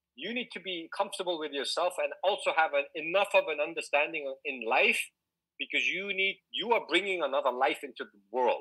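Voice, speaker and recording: This voice has a bright, sharp tone and lively intonation, moving at a fairly quick pace with big swings in loudness. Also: man, high pitch for a man. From Singapore. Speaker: DJ and motivational speaker. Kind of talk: casual podcast interview. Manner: animated; halting.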